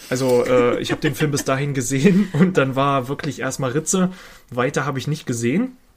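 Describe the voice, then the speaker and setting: The voice is somewhat breathy and moves at a fairly quick pace with ordinary pitch variation. The recording is very clean against a silent background. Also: man, fairly high pitch for a man. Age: 20s. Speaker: podcast co-host, film and games fan. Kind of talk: casual chat.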